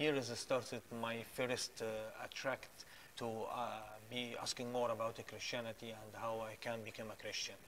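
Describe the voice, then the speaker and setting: With an Arabic accent, a man speaks at a moderate pace in a flat monotone over light background noise. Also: medium pitch for a man. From Egypt. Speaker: guest sharing faith testimony. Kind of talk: preaching; testimony. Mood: earnest, pleading appeal. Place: studio. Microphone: lapel.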